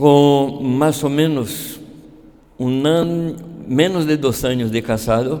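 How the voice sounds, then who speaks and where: A man with a dark, mellow tone talks over audible room echo. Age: 70s. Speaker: pastor. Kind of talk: sermon. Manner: halting.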